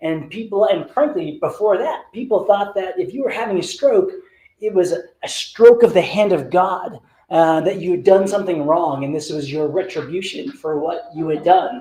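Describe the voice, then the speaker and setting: With a dark, mellow tone and high pitch, a man speaks at a moderate pace using lively intonation. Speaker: neurologist, stroke director. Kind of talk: lecture. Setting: talk to a live and online audience. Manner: animated.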